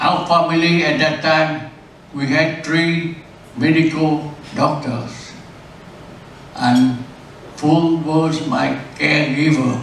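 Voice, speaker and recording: A man's fairly high, monotone voice at a very slow pace with long, frequent pauses, amid audible room echo and noticeable background noise. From South Vietnam. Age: 80s+. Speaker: retired engineering executive. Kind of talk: birthday speech. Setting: restaurant party with guests. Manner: halting.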